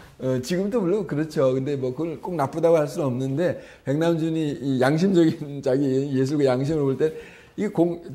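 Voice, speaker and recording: This man has a fairly high pitch and a dark, mellow tone, with audible room echo around him. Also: ordinary pitch variation, moderate pace. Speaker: art journalist and lecturer. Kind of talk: lecture. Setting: gallery talk with audience. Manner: halting, many fillers.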